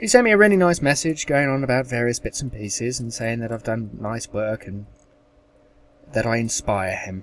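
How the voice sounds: Speaking at a moderate pace, a man has a medium pitch, a fairly bright tone and lively intonation.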